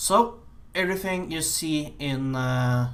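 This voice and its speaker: A man with an American accent and ordinary pitch variation, with audible room echo. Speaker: game programmer. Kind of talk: game dev vlog. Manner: halting, many fillers.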